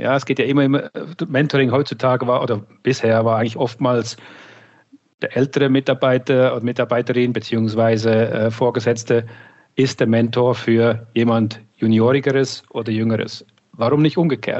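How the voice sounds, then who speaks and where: Fairly quick delivery in an unremarkable speaking voice, intonation fairly even. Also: man. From Switzerland. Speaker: marketing director. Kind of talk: interview.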